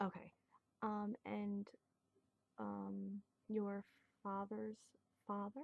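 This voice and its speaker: Whispering and soft-spoken with a gentle tone, a woman talks at a very slow pace with long, frequent pauses. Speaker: nurse in a class project role-play. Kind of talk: soft-spoken ASMR role-play of a nurse taking a health history. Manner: soft-spoken, gentle, whispering.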